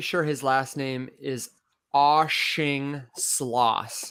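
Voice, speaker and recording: A man's bright, sharp, fairly high voice in a very clean recording with a silent background. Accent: American. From US Midwest (Michigan, earlier Las Vegas). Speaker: podcast host. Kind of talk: casual chat. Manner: clear enunciation.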